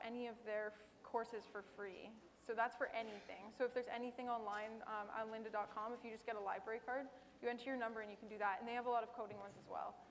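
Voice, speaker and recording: Over noticeable background noise, a woman talks very fast at a fairly high pitch in a flat monotone, her loudness swinging widely. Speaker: tech professional on panel. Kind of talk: panel Q&A.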